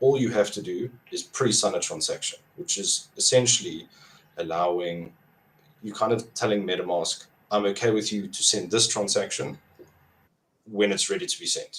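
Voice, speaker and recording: A man with a South African accent at a moderate pace. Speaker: crypto app developer. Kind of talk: podcast interview.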